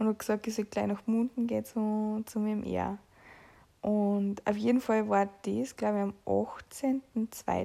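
A woman speaks at a very slow pace with a fairly high pitch. Her tone is dark and mellow, her intonation fairly even. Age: 20s. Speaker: podcaster with long covid. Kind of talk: personal diary-style monologue.

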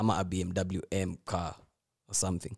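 A man with a very deep, low pitch and a dark, mellow tone, in a dry, close sound with no echo and a very clean recording over a silent background. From Kenya. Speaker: F1 podcast host. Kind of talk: casual chat. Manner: animated.

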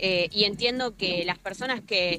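With music in the background, a woman speaks with fairly even intonation. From Argentina, Rosario. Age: 20s. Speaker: footballer. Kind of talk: interview. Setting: remote call from outdoors.

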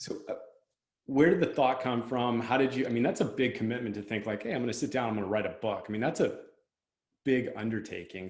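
A man with an American accent talks at a very fast pace in a medium pitch. Audible room echo surrounds his voice. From Southern California. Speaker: podcast host. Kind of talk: interview.

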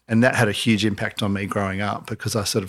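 A man with an Australian accent and a fairly low pitch talks at a very fast pace with fairly even intonation, in a very clean recording with a silent background. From Australia, south coast of New South Wales. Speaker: entrepreneur and company founder. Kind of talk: casual interview.

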